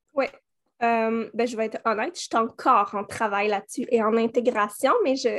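A woman with a Quebec accent and a fairly high voice at a moderate pace, with fairly even intonation and a quiet background. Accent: Québécois French. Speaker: holistic coach. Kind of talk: interview. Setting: remote recording with baby in carrier. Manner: hesitant, many fillers.

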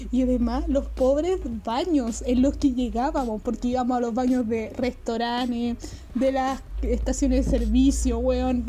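A woman with a Chilean accent speaks at a fairly slow pace. Noticeable background noise runs under her voice. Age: 20s. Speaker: film student. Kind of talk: casual chat.

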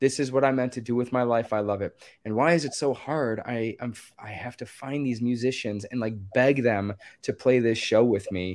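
A man with an American accent and a normal speaking voice, medium in pitch, at a moderate pace with fairly even intonation, on a very clean recording with a silent background. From Maryland, US. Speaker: musician and nonprofit founder. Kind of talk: interview answers.

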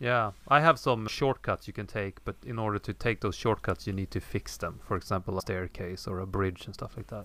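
On a very clean recording with a silent background, a man with a fairly low pitch and a bright, sharp tone talks at a fairly quick pace, showing vocal fry and ordinary pitch variation. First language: not English. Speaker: podcast co-host, game developer. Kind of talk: casual podcast chat.

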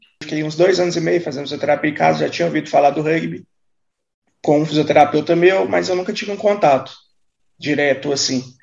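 A man's very fast speech, fairly high in pitch and lively in intonation, broken by long, frequent pauses. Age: 30s. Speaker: wheelchair rugby athlete. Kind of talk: casual interview.

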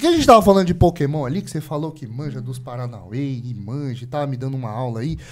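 A man speaks at a very fast pace with hardly any pauses, in a medium pitch with ordinary pitch variation. His voice is somewhat breathy, with big swings in loudness. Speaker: podcast host. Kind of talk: casual chat. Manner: animated.

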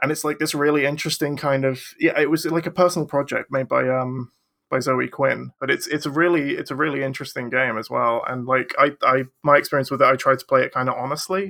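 A man with an English accent talks at a very fast pace in a bright, sharp tone with fairly even intonation. The recording is very clean, with a silent background. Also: fairly high pitch for a man. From England. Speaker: children's picture book illustrator. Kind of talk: casual chat.

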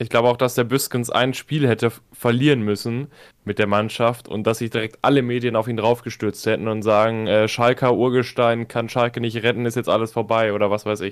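Over a very clean recording with a silent background, a man of medium pitch talks at a fairly quick pace in a monotone, flat intonation. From Münsterland, Germany. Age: 20s. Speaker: football fan club member. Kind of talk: casual chat.

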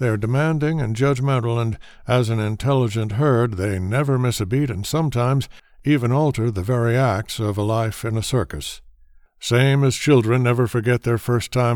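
A man speaks at medium pitch and a moderate pace with ordinary pitch variation, in an ordinary speaking voice. The recording is very clean, with a silent background. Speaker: narrator. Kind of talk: dramatic scripted narration, essay-like reading with a grand, theatrical flourish. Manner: measured, declamatory, ringmaster-like; formal and elevated, rolling through long rhetorical lists.

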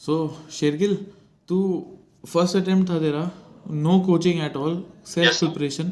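Long, frequent pauses break up the speech of a man with a high-pitched voice. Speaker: podcast host, former defence cadet. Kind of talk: casual interview chat. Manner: animated, laughing often.

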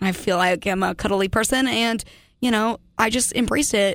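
On a very clean recording with a silent background, a woman speaks at a moderate pace with a medium pitch, vocal fry and ordinary pitch variation. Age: 20s. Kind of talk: casual chat. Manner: loud, animated.

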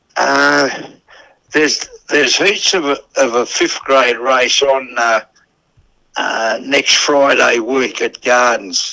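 A bright, sharp tone at a very slow pace, with ordinary pitch variation and long, frequent pauses. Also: man, medium pitch for a man, very even loudness. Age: 80s+. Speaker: greyhound trainer. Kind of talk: casual interview. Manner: halting.

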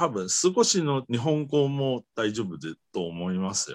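In a very clean recording with a silent background and a dry, close sound with no echo, a man's pitch swings very widely. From Taiwan. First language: Mandarin Chinese (speaking Japanese). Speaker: guest from abroad. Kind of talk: casual interview chat. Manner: halting, many fillers.

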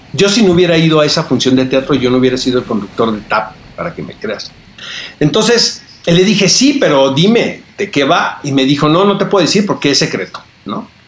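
Amid noticeable background noise, a man with a fairly high pitch talks at a fairly quick pace, his pitch swinging very widely. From Tijuana, northern Mexico border. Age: 50s. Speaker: film critic and TV interviewer. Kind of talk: casual interview chat.

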